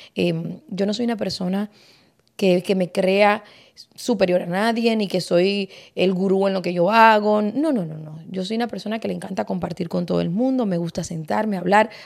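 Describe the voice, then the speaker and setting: This woman speaks at a moderate pace in a medium pitch. Her pitch varies in an ordinary way. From Cuba. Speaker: podcast host. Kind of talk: casual chat.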